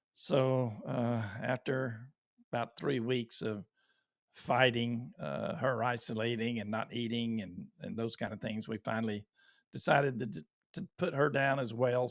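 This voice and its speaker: A man with a Texan accent speaks at a fairly slow pace. His pitch is medium, with ordinary variation. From Texas. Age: 60s. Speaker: YouTuber. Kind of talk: live stream talk. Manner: halting.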